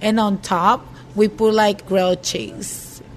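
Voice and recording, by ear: The speaker is a woman. Her voice comes with noticeable background noise.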